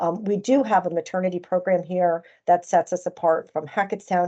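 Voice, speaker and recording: A woman with an American accent speaks in a dark, mellow tone at a moderate pace. Her pitch varies in an ordinary way against a quiet background. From New Jersey, US. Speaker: chief nursing officer. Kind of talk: conference presentation. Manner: hesitant, with frequent fillers.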